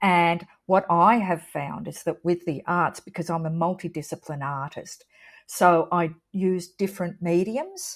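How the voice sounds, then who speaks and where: A woman speaks fairly slowly with an Australian accent and fairly even intonation at a fairly low pitch. The recording is very clean, with a silent background. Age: 60s. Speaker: artist. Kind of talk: interview.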